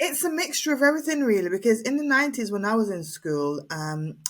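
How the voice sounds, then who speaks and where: Somewhat breathy, fairly quick delivery with very wide pitch swings. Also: woman. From Jamaica, then English Midlands. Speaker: inspirational speaker and radio presenter. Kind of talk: interview testimony. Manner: halting, many repetitions and fillers.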